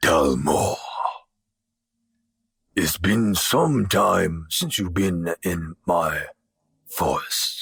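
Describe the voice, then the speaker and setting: A man speaks in a put-on character voice. His pace is very slow, with long, frequent pauses. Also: fairly low pitch for a man. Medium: actual play. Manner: slow, grave, dignified.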